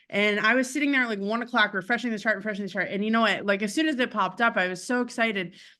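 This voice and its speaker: Speaking in an American accent, a woman has a bright, sharp tone. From Connecticut, US. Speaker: rock musician and attorney. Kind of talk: interview. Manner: hesitant, many fillers.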